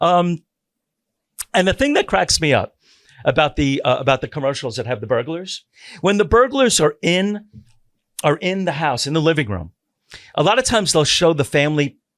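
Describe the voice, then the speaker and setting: Animated in tone, a man with an American accent swings his pitch very widely and leaves long, frequent pauses, in a dry, close recording with no echo. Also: very clean recording, silent background. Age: 60s. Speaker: podcast host, retired sheriff's deputy. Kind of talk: casual chat.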